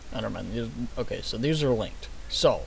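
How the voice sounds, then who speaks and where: A man speaking at a fairly quick pace sounds echoey in the room. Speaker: gaming mod tutorial youtuber. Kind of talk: screen-recorded tutorial. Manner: fast; casual, hesitant with fillers.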